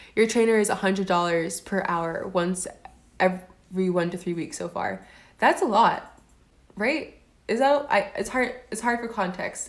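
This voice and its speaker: A normal speaking voice from a woman with an American accent, medium in pitch, with lively intonation and a moderate pace. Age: 20s. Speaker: livestreamer. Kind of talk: live stream chat. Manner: casual, filler-heavy.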